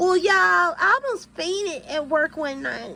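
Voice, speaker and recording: A woman speaks in a raised, projected voice with a bright, sharp tone. She sounds animated, at a fairly slow pace. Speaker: YouTuber and nurse. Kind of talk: casual vlog monologue.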